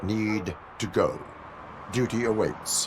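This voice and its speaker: A man speaks in a put-on character voice over clear background noise. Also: medium pitch for a man. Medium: video game. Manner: flat, formal, clipped.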